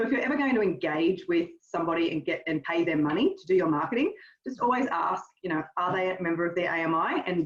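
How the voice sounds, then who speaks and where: A woman with an Australian accent talks very fast at a fairly low pitch, with lively intonation. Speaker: marketing trainer. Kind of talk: webinar workshop. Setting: video call.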